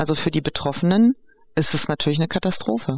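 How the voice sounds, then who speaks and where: A woman with a very deep, low pitch and lively intonation is heard in a dry, close sound with no echo, along with noticeable background noise. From Greek-German. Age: 50s. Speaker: educational program organizer. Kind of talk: interview conversation. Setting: on location at the project.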